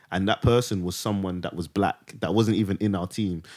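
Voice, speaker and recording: A man with a fairly low pitch talks at a fairly quick pace in a normal speaking voice on a very clean recording with a silent background. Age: 20s. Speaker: podcast co-host, guest. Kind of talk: casual chat.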